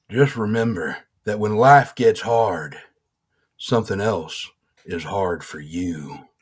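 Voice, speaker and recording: Putting on a raspy character voice, a man speaks at a fairly slow pace with fairly low pitch and long, frequent pauses. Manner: put-on character voice.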